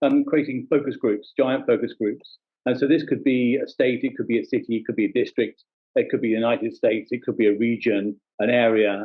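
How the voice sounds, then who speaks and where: The speaker talks with a London accent at a fairly quick pace. Pitch varies in an ordinary way. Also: man. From England, London. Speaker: social media analyst, company founder. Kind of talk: presentation.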